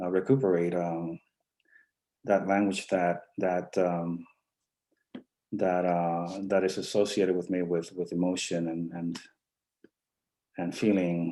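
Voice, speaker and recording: Long, frequent pauses at a fairly slow pace, with a dark, mellow tone and monotone, flat intonation. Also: man, very deep, low pitch for a man. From Mexico, Tamaulipas border region. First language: Spanish. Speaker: poet. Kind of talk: interview. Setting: live online stream. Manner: halting, many fillers.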